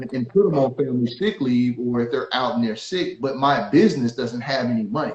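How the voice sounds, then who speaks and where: A man's somewhat breathy voice with a fairly high pitch. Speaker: business and tax attorney. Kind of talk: interview discussion. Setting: at home, remote live stream.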